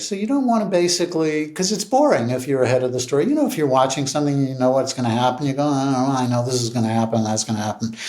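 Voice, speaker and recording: A fairly high-pitched man with an American accent and ordinary pitch variation, with audible room echo and noticeable background noise. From New York. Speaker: TV series creator and writer. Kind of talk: casual interview chat. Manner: hesitant, thoughtful.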